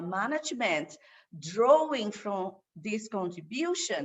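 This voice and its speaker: A woman with a Brazilian Portuguese accent talks at a medium pitch with lively intonation. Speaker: waste management expert. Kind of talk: online course presentation. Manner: halting, many fillers.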